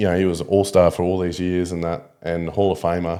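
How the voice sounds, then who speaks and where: Speaking with an Australian accent, a man talks fairly quickly in a dark, mellow tone at a very deep, low pitch. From Australia (Ballina, NSW; then Townsville). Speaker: podcast guest, pool player. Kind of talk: casual chat. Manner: animated storytelling.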